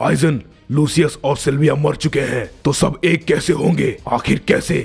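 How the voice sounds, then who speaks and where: With faint music in the background, a man in a put-on character voice speaks at a moderate pace and a fairly high pitch. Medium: read story. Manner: threatening, aggressive.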